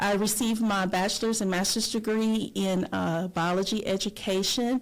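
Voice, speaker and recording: A woman speaks in a Southern US accent. She goes at a fairly slow pace. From North Florida. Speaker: retired teacher and advocate. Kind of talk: podcast interview.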